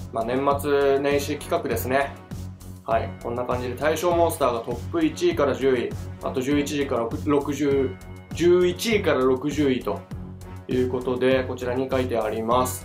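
With music in the background, a man speaks fairly quickly at a medium pitch, his intonation lively. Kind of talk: casual game commentary.

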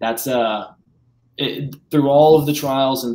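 The speaker is male. Intonation stays fairly level. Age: 20s. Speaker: actor and online pastor; interview guest. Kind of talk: testimony. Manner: halting, many fillers. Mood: sincere, reflective. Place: home room.

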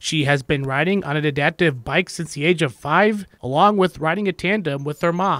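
A man with a normal speaking voice talks at a moderate pace with hardly any pauses, his pitch fairly high and its variation ordinary. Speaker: news reporter. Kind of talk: TV news narration.

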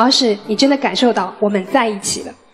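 A woman talks at a fairly quick pace with faint music in the background. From Shanghai. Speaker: dating show contestant. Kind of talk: dating show confession. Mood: warm, slightly shy. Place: stage. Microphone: handheld.

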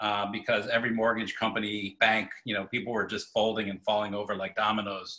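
This man talks at a fairly quick pace with an American accent, using a fairly low pitch and a bright, sharp tone. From Michigan. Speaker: mortgage banker. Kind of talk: webinar panel Q&A. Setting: video call.

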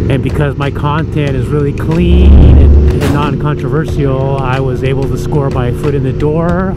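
A dry sound with no echo, music in the background, a moderate pace and hardly any pauses. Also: man. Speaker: motovlogger. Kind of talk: casual vlog chat. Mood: excited, upbeat. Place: motorbike. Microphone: helmet.

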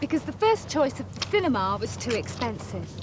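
The pace is fairly quick. Pitch swings are big. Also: woman, fairly high pitch for a woman.

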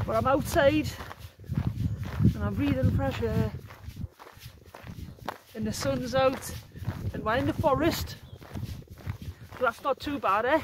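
A woman speaks fairly slowly, with long, frequent pauses. The sound is dry with no echo, and there is noticeable background noise. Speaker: solo hiker vlogger. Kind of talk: casual vlog chat. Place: forest. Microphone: phone near.

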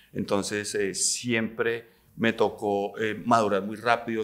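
A man speaks at a very slow pace in a monotone, flat intonation. The background is quiet. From Colombia, Neiva (Huila); Colombia. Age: 50s. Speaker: businessman; interview guest. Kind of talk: interview conversation. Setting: hotel. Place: studio. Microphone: studio mic.

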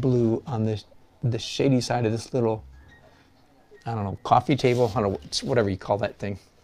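Over faint background music, a man with an American accent speaks at a medium pitch with fairly even intonation. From Michigan. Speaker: watercolor artist and art teacher; art teacher. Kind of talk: live-stream tutorial with chat. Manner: rambling, chatty. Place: studio.

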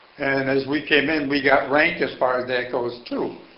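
A man with a fairly high voice speaks at a fairly slow pace and fairly even intonation, with audible room echo. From Chicago, US Midwest. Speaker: Korean War veteran, retired auto mechanic. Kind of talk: oral history interview.

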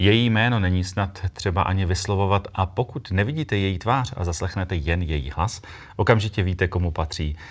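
Against a quiet background, a man with a very deep, low pitch talks at a fairly quick pace with ordinary pitch variation. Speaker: talk show host. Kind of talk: show introduction. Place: studio. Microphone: lapel.

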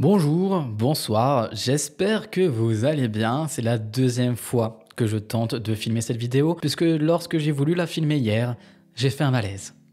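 On a very clean recording with a silent background, a man with a medium pitch and a dark, mellow tone speaks at a fairly slow pace with lively intonation. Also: very even loudness. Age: 20s. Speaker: YouTuber, lifestyle vlogger. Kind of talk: casual talking-head vlog monologue.

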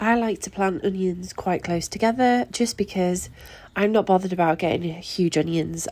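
With a Yorkshire accent, this woman has a medium pitch, a dark, mellow tone, ordinary pitch variation and a moderate pace, recorded very cleanly against a silent background. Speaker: gardener, allotment vlogger. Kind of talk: gardening vlog voice-over.

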